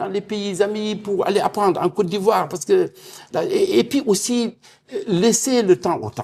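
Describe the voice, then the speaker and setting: At a fairly slow pace, a man talks in a high pitch with ordinary pitch variation. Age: 60s. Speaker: energy expert and university professor. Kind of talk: televised panel debate.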